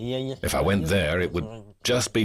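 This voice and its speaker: A man's very deep, low voice with vocal fry, very wide pitch swings and a moderate pace. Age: 40s. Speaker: homeless fighter. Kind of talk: documentary interview.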